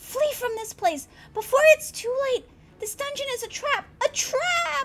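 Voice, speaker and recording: A woman's put-on character voice at an extremely high pitch, delivered at a fairly slow pace. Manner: urgent warning.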